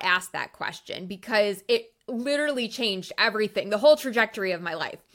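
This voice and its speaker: On a very clean recording with a silent background, a woman speaks in a fairly high voice with a bright, sharp, animated tone and lively intonation. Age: 40s. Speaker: author and life coach. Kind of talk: interview conversation.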